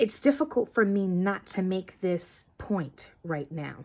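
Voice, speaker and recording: With lively intonation, a woman at a medium pitch speaks at a very slow pace. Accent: American. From New York, the Bronx. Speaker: student. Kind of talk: recorded discussion board response. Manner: casual, conversational with many fillers.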